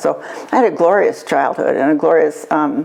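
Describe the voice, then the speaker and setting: Against noticeable background noise, a woman speaks with an American accent. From Seattle area, Washington. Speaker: longtime local community figure. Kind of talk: interview.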